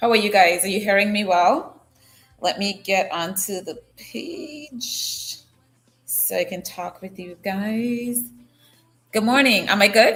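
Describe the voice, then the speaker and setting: A woman at medium pitch, very slow, with lively intonation and big swings in loudness. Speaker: news talk show host. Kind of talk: live-stream news talk. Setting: live stream from an unusual location. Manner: casual and chatty.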